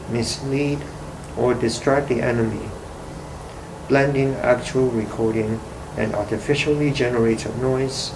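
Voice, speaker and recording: A man with a non-native accent speaks in a monotone, flat voice at a fairly slow pace, pausing long and often. Noticeable background noise and audible room echo fill the recording. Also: medium pitch for a man. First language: not English. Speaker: artist. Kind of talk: reading aloud. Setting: library.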